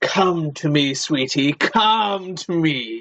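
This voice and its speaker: A put-on character voice at a middle pitch moves along at a very slow pace. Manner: eerie, luring, sweetly sinister.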